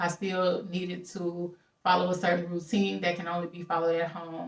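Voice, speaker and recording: At a moderate pace, a woman with a fairly low voice speaks in a strong Southern US accent. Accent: strong Southern country. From Louisiana. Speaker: travel vlogger and house-sitter. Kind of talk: casual vlog monologue. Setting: at a house-sit in California.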